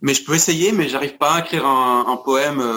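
The pace of this man's speech is moderate. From France and Scotland (Paris, Glasgow). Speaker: musician. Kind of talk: interview. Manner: halting, many repetitions.

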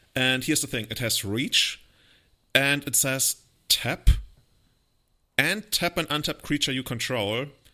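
This man speaks with a German accent and a bright, sharp tone. He leaves long, frequent pauses on a very clean recording with a silent background. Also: medium pitch for a man, ordinary pitch variation, fairly slow pace. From Germany. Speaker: podcast host. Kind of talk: casual chat.

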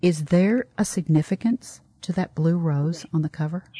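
With a warm, enthusiastic tone, a woman speaks in a fairly low, somewhat breathy voice with ordinary pitch variation, and the sound is dry and close with no echo. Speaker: podcast host. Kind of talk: interview. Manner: warm and enthusiastic.

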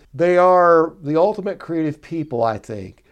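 A man's plain, everyday voice, fairly high in pitch, at a moderate pace over a quiet background. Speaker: executive producer, co-host. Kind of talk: casual interview chat.

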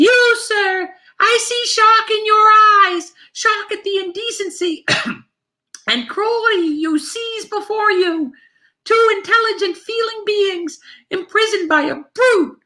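Using a squeaky, put-on character voice at an extremely high pitch, a man talks at a fairly slow pace. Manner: dramatic, indignant, theatrical.

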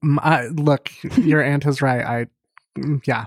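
A woman speaks very slowly with a very deep, low pitch and ordinary pitch variation. The sound is dry and close, with no echo. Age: 30s. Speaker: podcast co-host. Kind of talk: casual chat.

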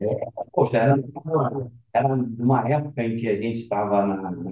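A man's plain, everyday voice, medium in pitch with ordinary pitch variation, at a fairly slow pace. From Rio de Janeiro, Brazil. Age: 50s. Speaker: fund manager. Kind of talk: podcast interview.

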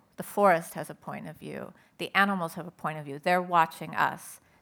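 A woman with an American accent and a fairly low pitch speaks fairly quickly with vocal fry and fairly even intonation, on a very clean recording with a silent background. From Southern California. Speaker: writer and poet. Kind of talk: panel talk.

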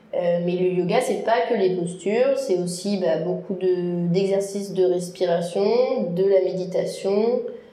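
At a very slow pace, a woman speaks at medium pitch with fairly even intonation and very even loudness. Noticeable background noise and audible room echo surround her voice. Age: 20s. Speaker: lifeguard and yoga practitioner. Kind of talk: interview. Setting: room with a lot of echo.

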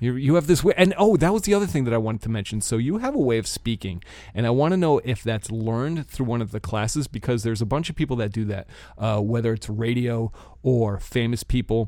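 Lively intonation marks this man's very fast speech. His tone is dark and mellow. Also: medium pitch for a man. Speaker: podcast host. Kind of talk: casual chat. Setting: home recording space, basement.

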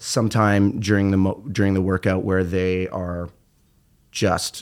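A man with a very deep, low pitch speaks in a monotone, flat way. His pace is moderate, and the recording is very clean with a silent background. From Ontario, Canada (Peterborough, rural). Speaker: fitness trainer and musician. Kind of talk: casual interview conversation.

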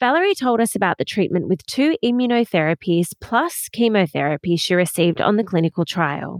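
A woman with an Australian accent, lively intonation and very even loudness, fairly quick with hardly any pauses, in a dry, close sound with no echo. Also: medium pitch for a woman. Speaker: podcast host. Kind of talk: scripted narration.

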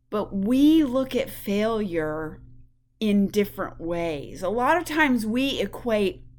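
An animated woman's voice, fairly high-pitched, with very wide pitch swings. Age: 50s. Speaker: podcast host and life coach. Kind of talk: motivational monologue.

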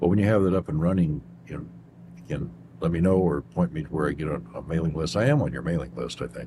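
A man with very deep, low pitch and a dark, mellow tone talks at a very fast pace, his lively intonation edged with vocal fry. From Kentucky. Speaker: radio show host. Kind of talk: interview.

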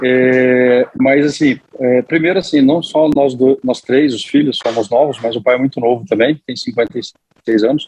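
In an unremarkable speaking voice of medium pitch, a man talks at a fairly slow pace with fairly even intonation and hardly any pauses, the sound dry and close with no echo. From Mato Grosso, Brazil. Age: 30s. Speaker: agribusiness manager. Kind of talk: interview. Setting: podcast interview.

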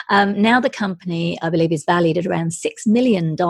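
The voice carries an American accent and some vocal fry. It moves at a moderate pace. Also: woman. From Britain. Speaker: podcast host, journalist. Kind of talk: interview conversation.

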